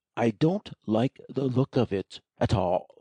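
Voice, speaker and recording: A man puts on a character voice at a medium pitch. He speaks at a fairly slow pace with lively intonation. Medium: audio drama. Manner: pompous, peevish.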